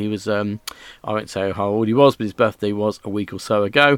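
Relaxed British-accented speech at a fairly quick pace, ordinary pitch variation, a very clean recording with a silent background, and a dry, close sound without echo. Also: man. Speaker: radio host. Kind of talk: radio DJ patter. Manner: relaxed, chatty.

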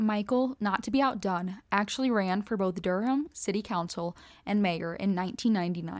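The recording is very clean with a silent background. A normal speaking voice moves at a moderate pace with ordinary pitch variation and very even loudness. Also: woman, medium pitch for a woman. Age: 20s. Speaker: true crime podcast co-host. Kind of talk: scripted narration with casual chat.

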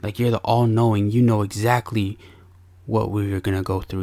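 Recorded very cleanly against a silent background, a man speaks with a fairly low pitch, a somewhat breathy voice and monotone, flat intonation. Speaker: podcast host and father. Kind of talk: podcast monologue mixing confessional storytelling with a sermon-like pep talk. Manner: earnest and warm, with a preacher-like, punchy delivery.

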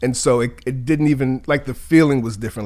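Medium-pitched man with an American accent and an unremarkable speaking voice, in a very clean recording with a silent background. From Virginia, US South. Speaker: filmmaker and children's media creator. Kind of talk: interview conversation.

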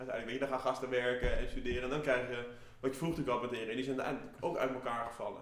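Very fast and with fairly even intonation, a man speaks amid strong room echo. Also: medium pitch for a man, fairly bright tone.

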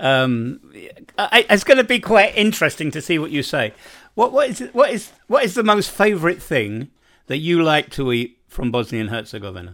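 On a very clean recording with a silent background, a man with a high pitch speaks with very wide pitch swings. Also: moderate pace. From London, England. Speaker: podcast host. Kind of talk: casual interview chat.

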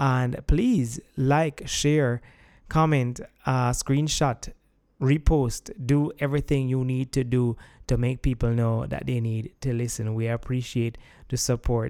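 Against a very clean, silent background, a man speaks very slowly at a medium pitch with a dark, mellow tone and fairly even intonation. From Jamaica. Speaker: podcast host. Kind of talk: interview, podcast chat.

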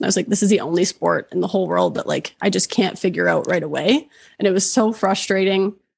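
A woman's medium-pitched voice with vocal fry, at a moderate pace. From Oshawa, Ontario, Canada. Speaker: golf content creator. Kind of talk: casual chat.

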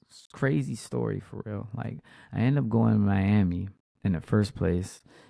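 In a very clean recording with a silent background, a man speaks at a moderate pace. He has an American accent and a fairly low, dark, mellow voice. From Washington DC. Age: 30s. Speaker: podcast host, musician. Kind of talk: casual storytelling monologue. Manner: casual, conversational.

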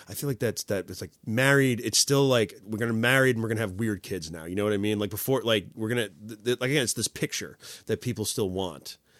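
A man with a medium-pitched voice talks at a very fast pace with hardly any pauses, recorded very cleanly against a silent background with a dry, close sound and no echo. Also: ordinary pitch variation. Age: 30s. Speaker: comedian. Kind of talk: casual chat.

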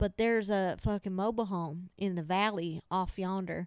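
A woman with a Southern Appalachian accent, animated in tone, at a fairly slow pace, in a dry, close sound with no echo. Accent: Southern Appalachian twang. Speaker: podcast host. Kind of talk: casual comedic chat. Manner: joking, animated, crude.

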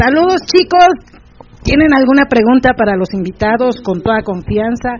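Over noticeable background noise, a woman with a high pitch talks at a fairly slow pace. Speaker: radio host. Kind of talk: casual chat.

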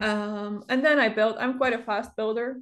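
A woman speaks at a moderate pace in a monotone, flat way. The background is quiet. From Europe. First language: not English. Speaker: Sims builder and content creator. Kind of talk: casual interview chat. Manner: halting, pauses often, many fillers.

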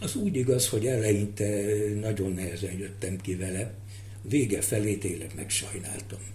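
Audible room echo surrounds a man's fairly low-pitched voice with fairly even intonation. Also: moderate pace. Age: 60s. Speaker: retired university lecturer. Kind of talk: interview. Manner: halting.

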